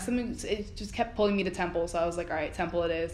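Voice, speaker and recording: A woman speaks with an American accent at a medium pitch. Audible room echo surrounds her voice. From South Florida, Miramar. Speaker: student TV producer and director. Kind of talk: casual interview. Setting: college building. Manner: hesitant with many fillers.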